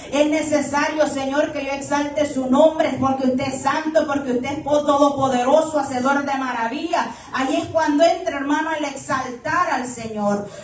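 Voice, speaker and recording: Loud and high-pitched, a woman speaks at a moderate pace with fairly even intonation, amid noticeable background noise and audible room echo. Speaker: preacher. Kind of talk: sermon.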